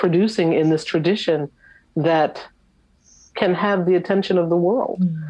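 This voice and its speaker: A woman's fairly low, dark, mellow voice at a fairly slow pace. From US Northeast, Long Island, New York. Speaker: visual artist and professor. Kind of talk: interview. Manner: halting, many fillers.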